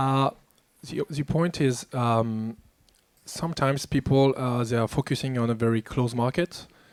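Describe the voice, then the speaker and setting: A man with a French accent, in a dry, close sound with no echo. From France. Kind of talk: panel discussion. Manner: halting.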